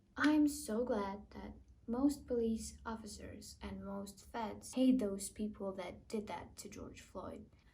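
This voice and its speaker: A woman's very slow speech in a non-native accent, with big swings in loudness and audible room echo. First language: not English. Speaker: YouTuber reading online comments. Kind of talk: reading comments aloud with reactions.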